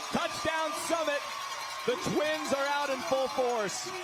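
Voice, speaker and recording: Over noticeable background noise, a man with an extremely high pitch speaks very slowly in a raised, projected voice. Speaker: sports broadcaster. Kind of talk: football play-by-play commentary. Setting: live stadium broadcast.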